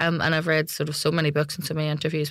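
A woman with a Belfast accent, very deep and low in pitch, monotone and flat, at a very fast pace, on a very clean recording with a silent background. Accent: Belfast Northern Irish. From Belfast, Northern Ireland. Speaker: security journalist. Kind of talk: interview.

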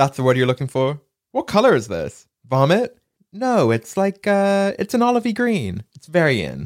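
On a very clean recording with a silent background and a dry, close sound with no echo, a man in a British accent speaks at a moderate pace and a high pitch, with very wide pitch swings and big swings in loudness. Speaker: podcast host. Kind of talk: casual chat.

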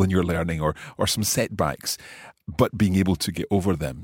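Against a silent background in a very clean recording, a man speaks at a moderate pace in a very deep, low pitch. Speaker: podcast host. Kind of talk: interview. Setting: studio.

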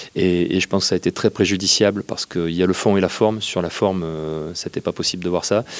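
A man talks at a very fast pace in a very deep, low pitch. His delivery is monotone and flat, and the sound is dry and close with no echo. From France, Bordeaux. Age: 40s. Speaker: football journalist. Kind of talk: casual chat. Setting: in a stadium.

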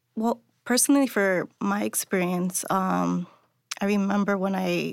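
The recording of this woman is very clean, with a silent background and a dry, close sound that carries no echo. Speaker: union alternate delegate, city worker. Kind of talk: panel discussion. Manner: casual, hesitant with fillers.

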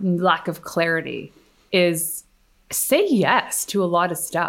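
In an unremarkable speaking voice, a woman talks at a fairly low pitch with ordinary pitch variation. The recording is very clean, with a silent background. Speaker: PR expert and entrepreneur. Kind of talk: casual interview chat.

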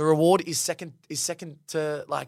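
A man with an Australian accent and a fairly high pitch. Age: 20s. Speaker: engineer and reality TV contestant. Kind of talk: casual interview. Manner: animated.

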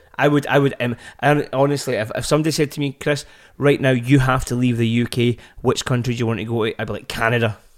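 In a Scottish accent, the speech runs at a very fast pace with fairly even intonation, in a very clean recording with a silent background. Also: man, medium pitch for a man. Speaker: podcast host, parent. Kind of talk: casual chat.

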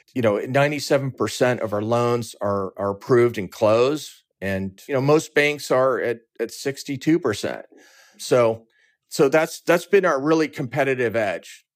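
A man speaks in a plain, everyday voice with an American accent, medium pitch and ordinary pitch variation. His pace is moderate, and the recording is very clean with a silent background. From Southern California, Orange County. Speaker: lending company founder and CEO. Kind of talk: interview.

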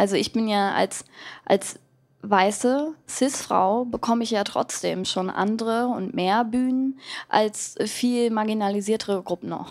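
Fairly high-pitched woman at a fairly slow pace, ordinary pitch variation, very clean recording with a silent background. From Germany, Berlin-Kreuzberg and Wendland. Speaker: pop musician. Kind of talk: live podcast interview. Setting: live stage with audience.

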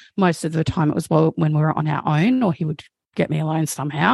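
A woman's fairly low voice with an Australian accent, dry and close with no echo, over a quiet background. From South Australia. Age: 30s. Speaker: trauma researcher and abuse survivor. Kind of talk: testimony.

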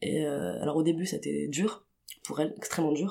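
Her pitch is very deep and low, with vocal fry. The woman talks at a moderate pace. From Tunisia (Tunis). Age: 20s. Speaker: queer artist. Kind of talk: interview testimony. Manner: hesitant, many fillers.

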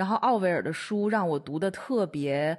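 Against a quiet background, a woman with a plain, everyday voice speaks with lively intonation at a fairly low pitch. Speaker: podcast co-host, gallery director. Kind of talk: casual chat. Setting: remote call.

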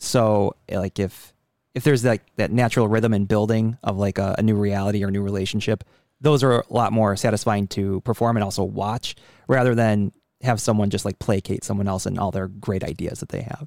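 A man with an unremarkable speaking voice and an American accent talks at a fairly quick pace and a fairly low pitch with fairly even intonation, the sound dry and close with no echo on a very clean recording with a silent background. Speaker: improv comedian and producer. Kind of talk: casual interview.

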